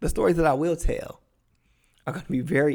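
A man talks in an animated tone with an American accent. His voice carries vocal fry. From Cleveland, Ohio, US Midwest. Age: 30s. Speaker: podcast host and dating coach. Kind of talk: personal storytelling monologue. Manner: animated, laughing often.

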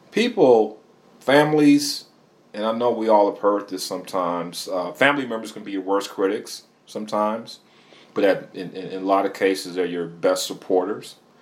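Ordinary pitch variation in a man's fairly low-pitched voice. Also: moderate pace, big swings in loudness. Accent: Midwestern US. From Michigan. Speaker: musician and DJ. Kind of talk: interview. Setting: studio.

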